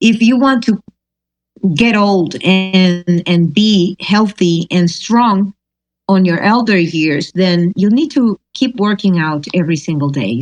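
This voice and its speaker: Speaking with a Spanish accent at a medium pitch, a woman talks at a very slow pace with lively intonation and a dry, close sound with no echo. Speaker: singer-songwriter. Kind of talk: interview. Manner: halting.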